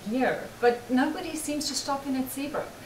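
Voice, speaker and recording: A woman with a South African accent is heard with audible room echo and noticeable background noise. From South Africa, Johannesburg. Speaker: market organizer. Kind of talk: interview. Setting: studio.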